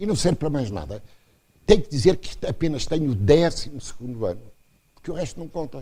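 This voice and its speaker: Amid audible room echo, a man speaks very fast at a fairly high pitch, his tone dark and mellow with vocal fry. His intonation is lively, his loudness swings widely, and he leaves long, frequent pauses. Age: 80s+. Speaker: professor. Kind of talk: lecture. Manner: animated.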